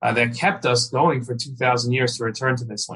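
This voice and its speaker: A man talks very fast with a New York accent. His medium pitch carries a bright, sharp tone. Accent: American, New York area. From US, New York area. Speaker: rabbi and Israel commentator. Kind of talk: interview conversation.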